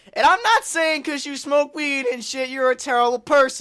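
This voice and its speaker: In a very clean recording with a silent background, a man speaks in a raised, projected voice with an animated tone. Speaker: gaming YouTuber. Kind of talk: gameplay commentary rant. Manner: loud.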